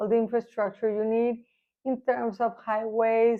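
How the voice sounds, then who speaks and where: This woman speaks with a Spanish accent at a fairly high pitch. Her intonation stays monotone and flat. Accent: Spanish accent, imperfect pronunciation. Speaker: real estate agent. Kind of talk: informational vlog. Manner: hesitant, with fillers.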